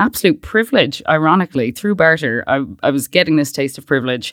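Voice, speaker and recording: In a western Irish accent, a woman with a fairly low pitch talks at a fairly quick pace, on a very clean recording with a silent background and a dry, close sound with no echo. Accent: Irish (west of Ireland). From Ireland (Westport, County Mayo). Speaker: startup founder. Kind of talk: interview.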